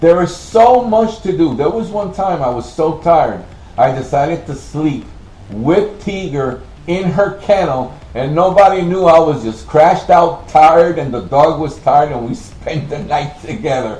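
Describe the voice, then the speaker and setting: Over noticeable background noise and audible room echo, a man with fairly high pitch speaks at a moderate pace with lively intonation. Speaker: military veteran. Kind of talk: interview testimony. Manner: loud.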